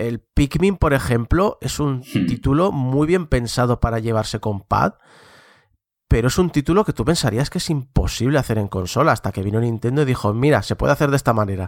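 A man's ordinary speaking voice, medium in pitch, with lively intonation and a fairly quick pace, in a dry, close sound with no echo and a very clean recording with a silent background. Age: 40s. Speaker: video game commentator. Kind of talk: casual chat.

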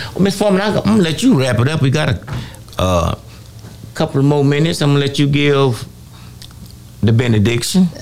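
A man speaks at a fairly quick pace with long, frequent pauses, very wide pitch swings and very even loudness, over noticeable background noise. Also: fairly high pitch for a man. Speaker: fill-in radio host. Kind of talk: call-in talk show. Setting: radio studio.

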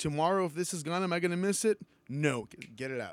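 On a very clean recording with a silent background, a man with an American accent speaks in a fairly high pitch with lively intonation. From US South, Texas (Weslaco). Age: 30s. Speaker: drummer. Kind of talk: casual chat.

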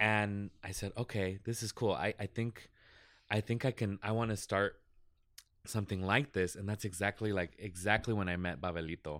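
A plain, everyday voice with an American accent and fairly even intonation comes through in a very clean recording with a silent background. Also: man, fairly low pitch for a man, moderate pace. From Las Vegas, Nevada, US. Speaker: visual artist and podcaster. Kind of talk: casual interview chat.

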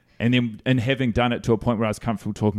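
In a New Zealand accent, the speaker keeps a fairly even intonation on a very clean recording with a silent background. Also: man. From New Zealand, Christchurch. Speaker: comedian. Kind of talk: casual chat.

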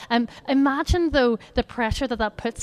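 In a Northern Irish accent, a woman speaks with a high pitch. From Northern Ireland. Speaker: charity educator. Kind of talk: talk at a church gathering with prayer.

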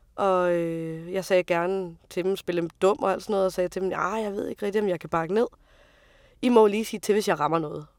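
The sound is dry and close with no echo, and the recording is very clean against a silent background. A woman speaks fairly quickly in a plain, everyday voice, medium in pitch, with fairly even intonation. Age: 30s. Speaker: truck driver. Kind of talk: interview testimony.

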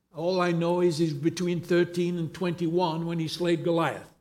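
With audible room echo, a man speaks at a moderate pace in a high pitch and a flat, monotone intonation. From England. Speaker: pastor. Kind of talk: sermon.

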